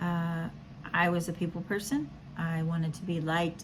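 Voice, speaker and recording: A somewhat breathy voice at a fairly slow pace. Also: woman. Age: 50s. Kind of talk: casual devotional talk. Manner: halting, many fillers.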